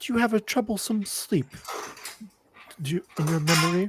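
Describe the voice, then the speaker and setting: Putting on a character voice, a man talks at a moderate pace in a high pitch. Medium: actual play. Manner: polite, hesitant.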